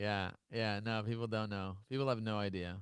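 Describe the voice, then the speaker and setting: A man with a New York accent. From Brooklyn, New York. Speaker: podcast host and entrepreneur. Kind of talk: casual interview chat. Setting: live-streamed video call. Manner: fast, animated.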